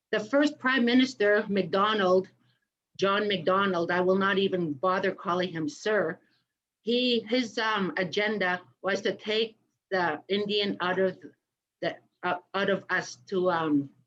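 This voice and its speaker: A plain, everyday voice with ordinary pitch variation at a fairly slow pace. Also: woman. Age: 50s. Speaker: residential school survivor. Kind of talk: testimony.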